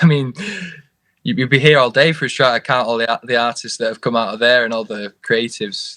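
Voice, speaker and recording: A man with a Lancashire accent, medium pitch, fairly even intonation and a fairly quick pace. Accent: Lancastrian. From northern England, Oldham near Manchester. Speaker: musician. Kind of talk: interview.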